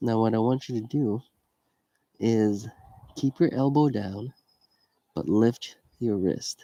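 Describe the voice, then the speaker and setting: A dark, mellow tone moves at a very slow pace with long, frequent pauses and ordinary pitch variation. The sound is dry and close, with no echo. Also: man, medium pitch for a man. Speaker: fitness instructor. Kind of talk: live workout class. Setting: livestream from home.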